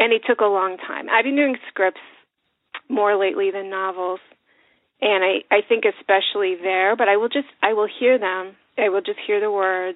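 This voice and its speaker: A woman speaks with fairly even intonation in an ordinary speaking voice. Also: medium pitch for a woman, moderate pace. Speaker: novelist and author. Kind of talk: casual interview chat.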